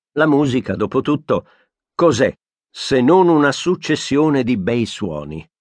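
Lively intonation runs through speech at a fairly slow pace with long, frequent pauses. The sound is dry and close with no echo, against a quiet background. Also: man, fairly high pitch for a man. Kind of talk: audiobook narration, reading a nonfiction book aloud. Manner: formal, measured and steady; clear, thoughtful pace with an even, literary tone.

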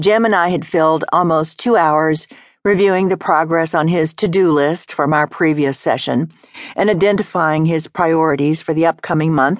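In an ordinary speaking voice, a woman talks at a moderate pace with fairly low pitch, fairly even intonation and very even loudness. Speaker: audiobook narrator. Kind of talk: audiobook reading. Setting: studio. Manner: measured, steady, formal; earnest, conversational storytelling.

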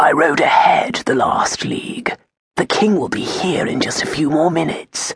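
A raspy, put-on character voice sits at a middle pitch and a moderate pace. It is delivered quietly. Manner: hushed.

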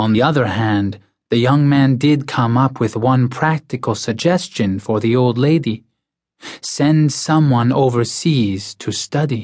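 A man delivers lines in a dramatic tone at a medium pitch and a fairly slow pace. Pitch variation is ordinary, loudness very even, and the background quiet. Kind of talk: audiobook narration, reading a novel aloud. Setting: studio. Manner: measured, steady storytelling pace, formal and even; dramatic and narrative, with a suspenseful tone.

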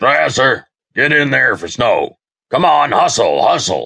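A man puts on a raspy character voice. He speaks at a fairly slow pace. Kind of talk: commanding shout. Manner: hollering.

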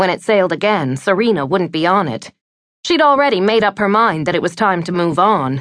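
Lively intonation marks a woman's normal speaking voice, with medium pitch and a fairly quick pace. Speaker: audiobook narrator. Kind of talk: audiobook narration of a romance novel, reading aloud. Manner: smooth, measured, wistful storytelling.

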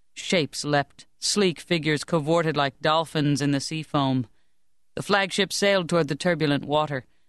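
A man's fairly high-pitched voice in an animated, dramatic tone at a moderate pace, with a dry, close sound with no echo and a quiet background. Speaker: audiobook narrator. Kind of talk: dramatic audiobook narration of historical fantasy. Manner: animated, dramatic storytelling with tense, urgent pacing.

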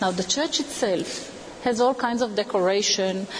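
Medium-pitched woman's voice with ordinary pitch variation, set against noticeable background noise. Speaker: historian and tour guide. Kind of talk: on-location walking tour guide narration, pointing out sites. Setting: outdoors on location. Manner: measured, explanatory, gently reverent.

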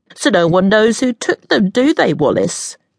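At a moderate pace, someone talks in a put-on character voice that sounds nasal. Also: female-sounding voice, medium pitch for a woman. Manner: fast.

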